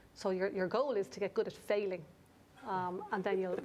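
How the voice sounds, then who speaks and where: In an Irish accent, a woman with a medium pitch talks at a fairly quick pace with fairly even intonation. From Ireland. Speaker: business coach. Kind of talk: interview discussion. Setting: studio.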